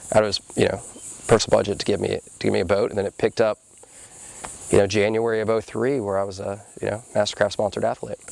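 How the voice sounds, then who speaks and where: A man with an American accent talks at a very fast pace, broken by long, frequent pauses. The sound is dry and close with no echo, though noticeable background noise is present. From Panama City, Florida. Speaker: professional wakeboarder. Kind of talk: interview answer. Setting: outdoors.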